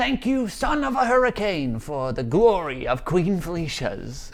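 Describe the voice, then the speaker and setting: A man does a put-on character voice, pitched high and delivered at a moderate pace. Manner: dramatic, fantasy-warrior delivery.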